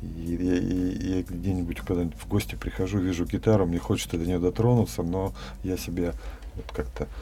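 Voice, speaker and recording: With a very deep, low pitch, a man talks at a moderate pace while his pitch swings very widely. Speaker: dance student and farmer, former businessman. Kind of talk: casual interview. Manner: hesitant with fillers.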